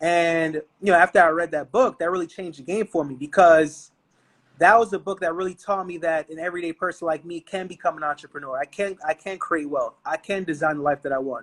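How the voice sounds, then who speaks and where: Speaking very fast in a New York accent, a man with a high-pitched voice sounds dry and close, with no echo. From Brooklyn, New York. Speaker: entrepreneur. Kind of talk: podcast interview. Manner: animated.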